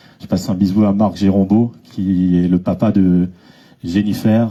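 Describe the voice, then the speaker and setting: A man's very deep, low voice, dark and mellow in tone, with monotone, flat intonation. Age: 40s. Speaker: association vice-president. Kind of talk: public speech. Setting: association gathering with audience. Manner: hesitant, many fillers.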